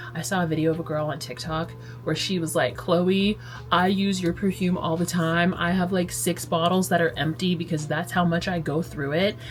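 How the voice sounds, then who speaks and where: A woman's fairly low-pitched voice at a moderate pace, with ordinary pitch variation and music in the background. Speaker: lifestyle vlogger. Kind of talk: casual vlog talk. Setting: in bed at home. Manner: chatty, filler-heavy.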